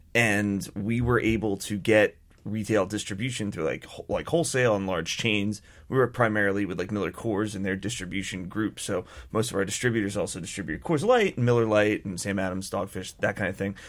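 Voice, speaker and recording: A man with a plain, everyday voice speaks at a fairly quick pace in a fairly low pitch. His pitch variation is ordinary, on a very clean recording with a silent background. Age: 30s. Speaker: beer company co-founder. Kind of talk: radio interview. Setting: radio studio.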